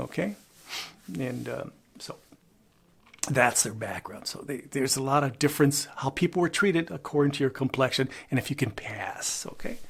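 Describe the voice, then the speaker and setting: Long, frequent pauses break up a man's fairly high voice with vocal fry, delivered at a moderate pace. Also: ordinary pitch variation. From Chicano Mexican-American, from Crystal City, Texas. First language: bilingual Spanish and English. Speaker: YouTuber and photographer. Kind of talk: casual talk to camera, family history. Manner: conversational, many filler words.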